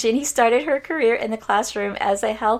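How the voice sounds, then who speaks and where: A woman with a fairly high pitch, an unremarkable speaking voice, a fairly quick pace and ordinary pitch variation. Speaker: podcast host.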